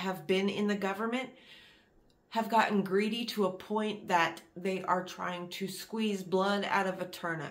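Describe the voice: A woman speaks with an American accent at a medium pitch. Her tone is fairly bright.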